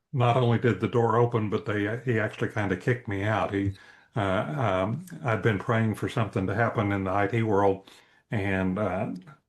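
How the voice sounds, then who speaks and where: A man talks at a moderate pace with fairly low pitch and fairly even intonation. His voice is somewhat breathy. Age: 70s. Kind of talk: interview. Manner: hesitant, many fillers.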